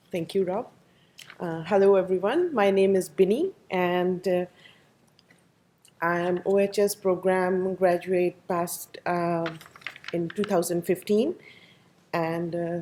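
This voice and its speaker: A woman in an Indian accent at a fairly slow pace, with fairly even intonation and long, frequent pauses. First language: not English. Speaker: program graduate, safety professional. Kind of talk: career talk to audience.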